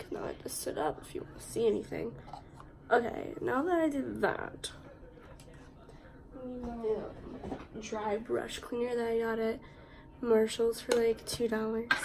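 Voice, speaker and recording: A woman's fairly high voice with ordinary pitch variation, moderate pace and long, frequent pauses, amid audible room echo and noticeable background noise. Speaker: student vlogger. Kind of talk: casual vlog, get ready with me. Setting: at home.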